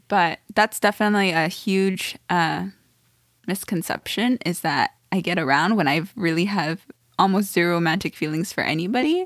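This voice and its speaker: In an unremarkable speaking voice, a woman talks at a moderate pace and medium pitch with ordinary pitch variation, and the sound is dry and close with no echo on a very clean recording with a silent background. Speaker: podcast co-host. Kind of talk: casual conversation.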